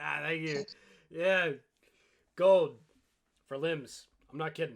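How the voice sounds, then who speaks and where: Fairly slow delivery in a man's put-on character voice, pitched fairly high. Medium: actual play. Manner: sly, matter-of-fact.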